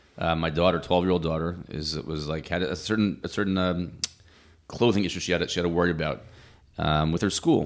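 A man talks at a very fast pace in an American accent. His very deep, low pitch holds a fairly even intonation. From US, Silver Spring, Maryland. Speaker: yeshiva head rabbi. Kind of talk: casual interview.

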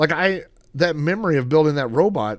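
Heard on a very clean recording with a silent background, a man speaks at a moderate pace with a fairly high pitch, ordinary pitch variation and an unremarkable speaking voice. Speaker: YouTuber collector. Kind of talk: unscripted solo monologue. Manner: casual with many fillers.

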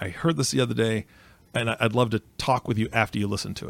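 A man's medium-pitched voice with vocal fry at a very fast pace, dry and close with no echo, on a very clean recording with a silent background. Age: 40s. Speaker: podcast host. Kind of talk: casual chat.

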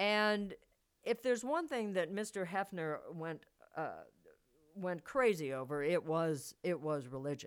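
A woman's ordinary speaking voice at medium pitch, with an American accent, lively intonation and a fairly slow pace, on a very clean recording with a silent background. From US Midwest, Missouri. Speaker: podcast host and thriller writer. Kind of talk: casual monologue.

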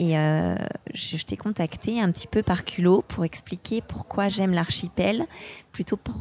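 At a very slow pace, a woman speaks with medium pitch and a somewhat breathy voice in a dry, close sound with no echo. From France, Haute-Savoie. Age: 30s. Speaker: outdoor sports enthusiast. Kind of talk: casual interview.

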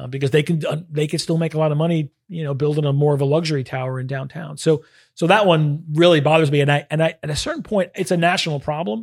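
In a very clean recording with a silent background, a man with an American accent talks very fast with hardly any pauses, his fairly high, somewhat breathy voice keeping a fairly even intonation. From Brooklyn, New York. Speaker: venture capital investor. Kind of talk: interview.

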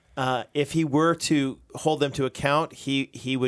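At a fairly slow pace, a man with an American accent uses an ordinary speaking voice at medium pitch with ordinary pitch variation, in a very clean recording with a silent background. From United States. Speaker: pastor, podcast co-host. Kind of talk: casual chat about theology.

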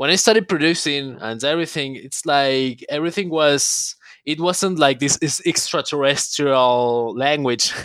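The speaker talks fairly slowly with a Spanish accent and ordinary pitch variation. The recording is very clean with a silent background. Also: man. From Argentina, Buenos Aires. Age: 20s. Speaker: techno producer and DJ. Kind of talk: interview.

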